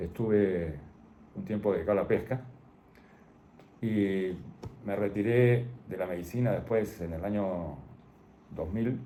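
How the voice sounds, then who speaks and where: A man talks with long, frequent pauses and ordinary pitch variation, his pitch fairly low. His tone is dark and mellow, and the room echo is audible. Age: 80s+. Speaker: retired doctor. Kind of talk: interview. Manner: halting.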